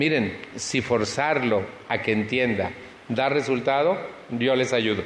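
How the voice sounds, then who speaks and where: At a very slow pace, a man with a medium pitch, ordinary pitch variation and very even loudness speaks amid noticeable background noise and audible room echo. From Mexico City. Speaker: recovery support group speaker. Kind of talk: personal testimony talk to an audience.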